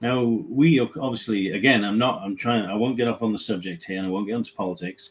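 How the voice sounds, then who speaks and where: Speaking at a medium pitch, a man talks with a British accent. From England. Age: 50s. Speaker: staffing company CEO. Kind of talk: webinar discussion.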